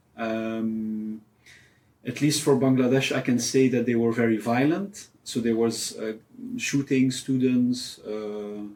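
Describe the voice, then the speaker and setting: A man with a Flemish accent, at a very slow pace and with fairly even intonation. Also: medium pitch for a man. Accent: Flemish Belgian English. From Belgium, Ghent. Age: 30s. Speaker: photojournalist. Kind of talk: interview. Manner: hesitant, many fillers.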